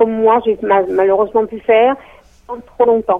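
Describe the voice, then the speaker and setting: A woman speaks at a moderate pace. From Strasbourg, France. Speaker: debt counselling client. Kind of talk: testimony.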